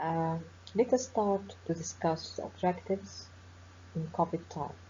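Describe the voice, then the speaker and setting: A woman with an Egyptian accent speaks at a fairly slow pace. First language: Arabic. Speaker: professor of forensic medicine. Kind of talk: webinar lecture. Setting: online webinar.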